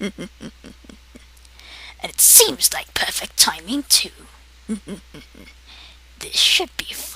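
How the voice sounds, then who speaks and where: This put-on character voice is high-pitched and very slow, with long, frequent pauses and clear background noise. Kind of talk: comedic character monologue to camera. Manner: sarcastic, condescending.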